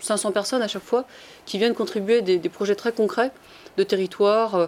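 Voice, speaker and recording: A woman talks fairly quickly, her medium-pitched voice keeping a fairly even intonation. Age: 40s. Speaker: engineer turned project incubator founder and author. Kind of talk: panel talk. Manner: hesitant, many fillers.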